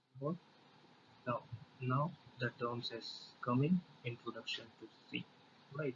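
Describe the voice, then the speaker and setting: Speaking at a fairly slow pace with long, frequent pauses, a man with an Indian accent has a medium pitch, ordinary pitch variation and a somewhat breathy voice. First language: Hindi. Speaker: programming tutor. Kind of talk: tutorial. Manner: halting, many fillers.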